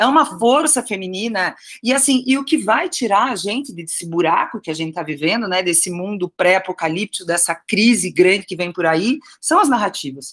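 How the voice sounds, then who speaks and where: Very wide pitch swings run through this fairly quick speech in a Curitiba accent. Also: woman, medium pitch for a woman. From Curitiba, southern Brazil. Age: 40s. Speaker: writer. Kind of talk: interview.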